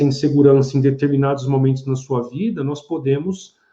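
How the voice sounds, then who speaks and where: Here a man speaks in a dark, mellow tone at a fairly high pitch. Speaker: psychoanalyst and philosopher. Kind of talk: live-stream talk with viewer comments.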